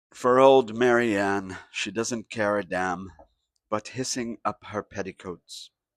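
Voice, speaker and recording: In a put-on character voice, a man growls in a raspy, hoarse, fairly low pitch with fairly even intonation and a fairly slow pace. The recording is very clean with a silent background, and the sound is dry and close with no echo. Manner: growling.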